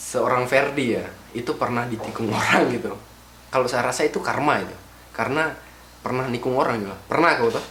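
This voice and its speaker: Speaking at a very fast pace, a man uses a medium pitch with ordinary pitch variation, amid noticeable background noise and audible room echo. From Javanese, raised in Gorontalo. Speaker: podcast host. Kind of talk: casual chat.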